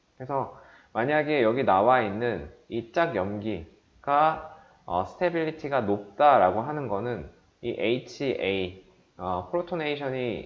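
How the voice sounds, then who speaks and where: The man's voice is medium in pitch with lively intonation. He speaks at a fairly slow pace, with audible room echo. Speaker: chemistry lecturer. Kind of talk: lecture.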